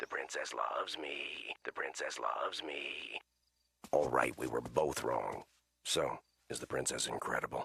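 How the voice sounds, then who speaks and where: At a moderate pace, a man performs a cartoonish character voice. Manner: calm, dry.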